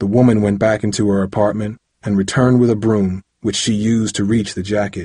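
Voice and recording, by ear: Against a quiet background, a text is read out loud in a natural voice whose intonation stays fairly even.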